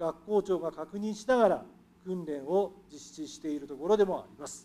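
A high male voice, dark and mellow in tone, with ordinary pitch variation. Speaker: education board official; city official answering council question. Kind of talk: formal prepared answer. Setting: council chamber. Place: hall. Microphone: podium.

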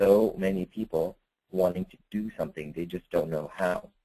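A man speaks at a moderate pace with a very deep, low pitch. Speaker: webinar presenter; former reporter.

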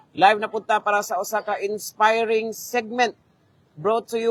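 Recorded dry and close with no echo, a man speaks at a high pitch and moderate pace with fairly even intonation. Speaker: live stream host. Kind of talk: interview.

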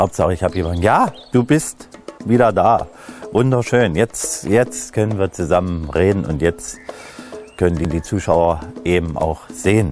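Faint music sits in the background as a man with a very deep, low pitch speaks at a fairly slow pace with ordinary pitch variation, long, frequent pauses and a dry sound with no echo. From Upper Lusatia, Saxony, Germany. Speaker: presenter. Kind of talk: casual talk to camera. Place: garden. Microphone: lapel.

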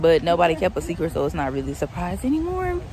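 We hear a woman speaking. There is noticeable background noise, and the sound is dry with no echo. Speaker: vlogger. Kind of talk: casual vlog chat. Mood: cheerful, chatty. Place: street. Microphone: phone near.

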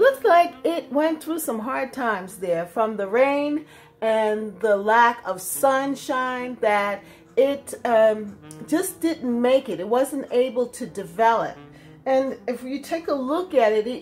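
Against light background noise, a woman speaks at a high pitch. Her pace is fairly slow and her intonation lively. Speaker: home gardener vlogger. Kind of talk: casual vlog chat. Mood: amused, mildly disappointed. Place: kitchen. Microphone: phone near.

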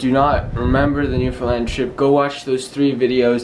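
Light background noise sits beneath a man's speech. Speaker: vlogger. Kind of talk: casual vlog chat. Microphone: phone near.

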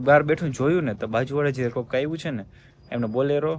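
This man's voice shows ordinary pitch variation. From rural Gujarat (Saurashtra). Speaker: family vlogger. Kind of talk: casual vlog chat. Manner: animated.

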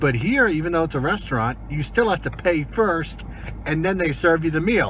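A man speaks at a moderate pace. The sound is dry with no echo, over light background noise. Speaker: food reviewer. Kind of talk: casual vlog chat. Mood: disappointed, mildly critical. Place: car. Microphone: phone near.

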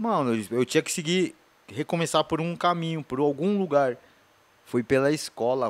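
Lively intonation from a man at a moderate pace, with big swings in loudness. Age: 40s. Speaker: skateboarder and author; podcast guest. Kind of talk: interview testimony. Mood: relaxed, reflective. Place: studio. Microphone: studio mic.

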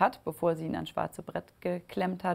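The woman's voice sits at a fairly low pitch. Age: 30s. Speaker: football club executive. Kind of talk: interview testimony. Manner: hesitant, many filler sounds. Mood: warm, reflective. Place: studio. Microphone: lapel.

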